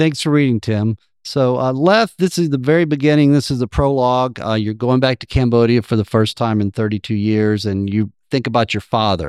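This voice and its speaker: Over a quiet background, a man with a plain, everyday voice speaks at a fairly quick pace in a medium pitch with ordinary pitch variation. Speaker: podcast host and co-author. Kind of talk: live moderated book event. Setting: stage with audience at book festival.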